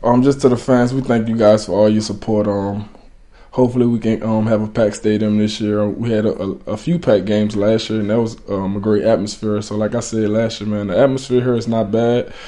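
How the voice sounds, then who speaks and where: In a dark, mellow tone, a man with a fairly low pitch speaks fairly quickly with a monotone, flat intonation. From USA. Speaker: American football player. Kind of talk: interview. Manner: halting.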